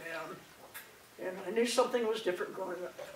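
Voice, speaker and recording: Against noticeable background noise and audible room echo, a woman talks at a very fast pace. Her medium pitch keeps a fairly even intonation. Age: 60s. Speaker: speaker sharing her coming-out story. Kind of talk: personal testimony talk. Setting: presentation at a conference. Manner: halting, with many fillers and repetitions.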